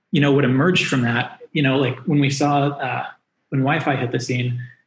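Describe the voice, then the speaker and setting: A somewhat breathy male voice at a moderate pace, fairly even in intonation, with audible room echo. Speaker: remote guest. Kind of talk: interview answer. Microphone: video call.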